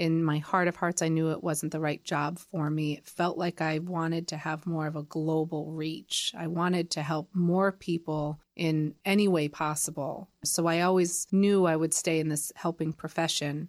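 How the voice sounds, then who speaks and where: A woman's fairly low voice with an American accent, monotone and flat, at a moderate pace with hardly any pauses, on a very clean recording with a silent background. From Connecticut, US. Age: 40s. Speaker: nonprofit founder. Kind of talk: interview.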